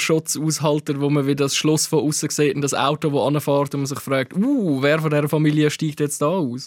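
This is an unremarkable speaking voice. A man talks at a fairly quick pace with fairly high pitch. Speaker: podcast host, film critic. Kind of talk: casual chat.

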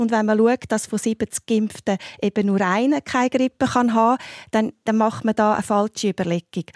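A woman with an unremarkable speaking voice talks at a moderate pace with fairly even intonation and very even loudness. The sound is dry and close with no echo, on a very clean recording with a silent background. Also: fairly high pitch for a woman. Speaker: family doctor and homeopath. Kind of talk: radio panel discussion.

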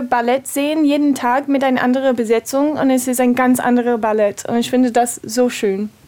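A woman speaks in an English accent. Her pitch is high. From USA. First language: English (speaking German). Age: 30s. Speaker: ballet dancer. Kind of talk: interview. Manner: halting.

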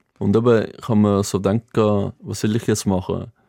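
Speaking with a Greek accent, a man uses a fairly low pitch and monotone, flat intonation. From Greece, Athens; moved to Basel at 12. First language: Greek (speaking German). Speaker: former water polo player, motivational speaker. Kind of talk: casual interview. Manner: halting after brain hemorrhage speech relearning.

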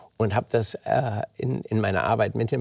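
Vocal fry marks this man's fairly low voice as he speaks at a fairly slow pace on a very clean recording with a silent background. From Germany. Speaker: oncologist and author. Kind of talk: interview. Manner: halting, many fillers.

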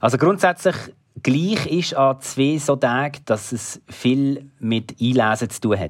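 A man with a medium-pitched voice talks very slowly, his intonation lively and his loudness swinging widely, in a very clean recording with a silent background. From Switzerland, Basel region. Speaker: sports presenter and journalist. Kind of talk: interview.

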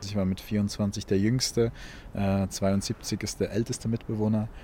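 Intonation is fairly even throughout. The voice has a dark, mellow tone. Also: man. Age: 20s. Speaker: theology student and climate activist. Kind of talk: interview. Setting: on location in a community house and garden. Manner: halting, many repetitions and fillers.

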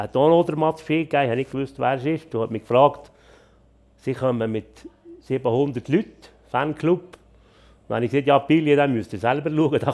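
A man's fairly high voice at a moderate pace, with long, frequent pauses and ordinary pitch variation. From Switzerland, Bernese Oberland (Adelboden). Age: 60s. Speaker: farmer and former skier. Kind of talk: casual chat.

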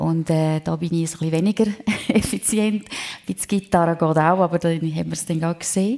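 At a fairly quick pace, a woman talks in a fairly low pitch with a dark, mellow tone and ordinary pitch variation. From Switzerland, Prättigau (Graubünden). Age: 50s. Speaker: singer and real estate entrepreneur. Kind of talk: live radio talk show interview. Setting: restaurant event venue with live audience.

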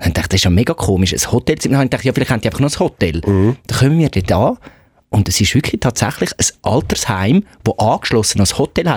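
At a very fast pace, a somewhat breathy man speaks at medium pitch with lively intonation and very even loudness, the recording dry and close with no echo. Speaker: radio producer and podcast co-host. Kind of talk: casual chat.

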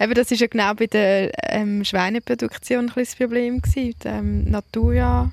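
This woman has an ordinary speaking voice, fairly high in pitch, delivered at a moderate pace in a very clean recording with a silent background and a dry, close sound with no echo. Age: 30s. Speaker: farmer. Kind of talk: interview.

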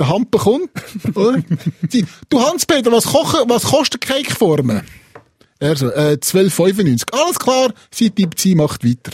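A high-pitched man with a Swiss accent speaks fairly slowly with very wide pitch swings, very even loudness, and long, frequent pauses, in a dry, close sound with no echo. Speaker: podcast co-host. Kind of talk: casual chat podcast.

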